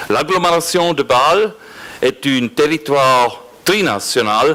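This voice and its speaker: In a non-native accent, the speaker goes at a very slow pace with lively intonation amid noticeable background noise. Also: man. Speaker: regional politician. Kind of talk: reading aloud a prepared speech. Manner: halting.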